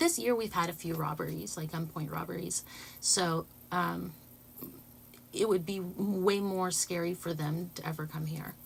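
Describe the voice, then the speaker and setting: Somewhat breathy, a woman speaks at a fairly low pitch with pitch varying in an ordinary way. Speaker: livestreamer. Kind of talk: casual chat. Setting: recording studio. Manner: stuttering, halting.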